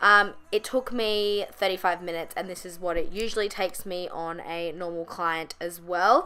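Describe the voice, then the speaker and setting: Hardly pausing, a woman talks at a medium pitch with ordinary pitch variation. Her loudness swings widely. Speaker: makeup artist. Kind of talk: tutorial. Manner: fast.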